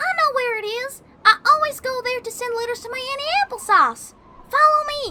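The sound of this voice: In a put-on character voice, a female-sounding speaker talks with extremely high pitch. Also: moderate pace.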